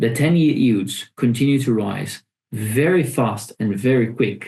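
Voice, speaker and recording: A man with a non-native accent speaks at a very slow pace. His medium-pitched voice is somewhat breathy, with a dark, mellow tone. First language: not English. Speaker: forex trading educator. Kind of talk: live trading webinar. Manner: halting, many fillers and repetitions.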